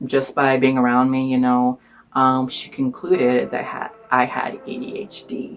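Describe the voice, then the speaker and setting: Over background music, a man with a Spanish accent speaks at a medium pitch. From Iowa, US Midwest. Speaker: student vlogger. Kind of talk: personal storytelling. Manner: casual, many fillers.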